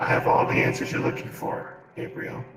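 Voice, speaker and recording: A man puts on a character voice at a fairly quick pace, with a strong echo around him. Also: fairly high pitch for a man. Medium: machinima. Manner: cocky, flippant.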